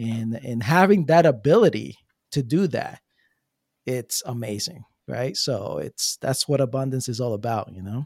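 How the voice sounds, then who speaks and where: In a normal speaking voice with an American accent, a man talks at a moderate pace and medium pitch with lively intonation, recorded dry and close with no echo. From New Jersey. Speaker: sales and marketing coach. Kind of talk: podcast interview.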